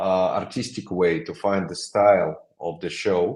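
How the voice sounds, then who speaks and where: A man with a non-native accent and fairly low pitch. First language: not English. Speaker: creative director of a design studio. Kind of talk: interview. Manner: halting.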